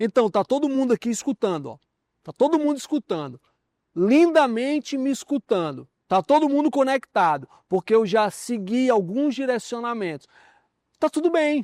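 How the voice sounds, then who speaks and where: A man's extremely high voice with lively intonation, dry and close with no echo, over a quiet background. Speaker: communication teacher. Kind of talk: lecture. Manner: slow, carefully articulated.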